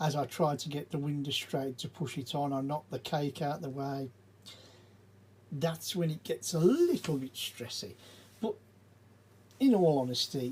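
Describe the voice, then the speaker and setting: A man with an English accent speaks at a fairly high pitch, somewhat breathy, with ordinary pitch variation. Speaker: Lego building video creator. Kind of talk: casual build commentary. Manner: mumbling and stumbling.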